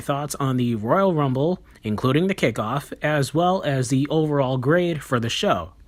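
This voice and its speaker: A man speaks quietly at a moderate pace, with a fairly high pitch and lively intonation. The recording is very clean, with a silent background. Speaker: wrestling reviewer. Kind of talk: review monologue. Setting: at home. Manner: quiet, subdued.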